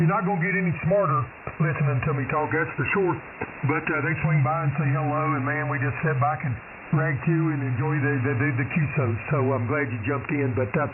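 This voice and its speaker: Over noticeable background noise and audible room echo, a man talks at a fairly quick pace in a fairly high pitch with ordinary pitch variation. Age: 50s. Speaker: amateur radio operator, retired Air Force veteran. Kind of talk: ham radio conversation. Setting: radio transmission.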